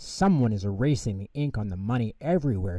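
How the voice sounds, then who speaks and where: A man's put-on character voice at medium pitch, very fast and full of lively intonation. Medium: read story.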